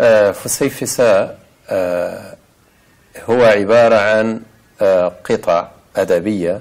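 In a quiet background, a man is heard speaking. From Saudi Arabia. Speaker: visual artist; interviewee. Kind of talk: interview; interview answer. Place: home room. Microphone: lapel.

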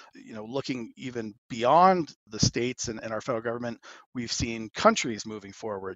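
Here a man uses a normal speaking voice at a medium pitch. His pace is moderate. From Arizona. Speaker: cannabis policy advocate. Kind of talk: casual interview.

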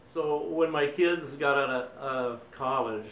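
Audible room echo surrounds a man's voice, with light background noise underneath. His intonation is fairly even. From Boston, Massachusetts. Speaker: war veteran. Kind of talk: interview answer. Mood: reflective, somber at times. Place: home room.

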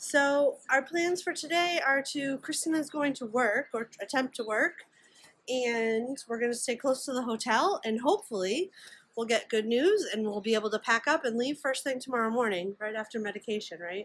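A woman with a high pitch talks at a moderate pace, her intonation lively. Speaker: vlogger. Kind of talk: casual vlog chat. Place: home room. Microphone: phone near.

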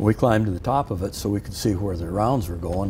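A Midwestern American accent with ordinary pitch variation over light background noise. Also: man. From Iowa, Sioux City; Iowa. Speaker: war veteran. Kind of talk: interview storytelling. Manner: halting. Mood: calm, reflective. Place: studio. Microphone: lapel.

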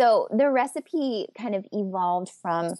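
In a very clean recording with a silent background, a woman's voice comes across dry and close, with no echo. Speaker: communication coach and business owner. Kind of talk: interview.

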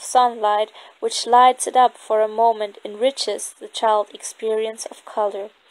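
A woman with a non-native accent speaks at a fairly slow pace with a fairly high pitch and a monotone, flat intonation. Her loudness swings a lot, and the sound is dry and close with no echo. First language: non-native English speaker. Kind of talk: nonfiction book reading. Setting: outdoors.

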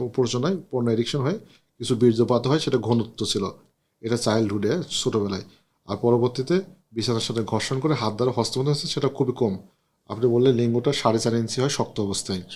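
A man talks at a medium pitch with ordinary pitch variation in an unremarkable speaking voice. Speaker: doctor consulting a patient on camera. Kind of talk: on-camera doctor consultation.

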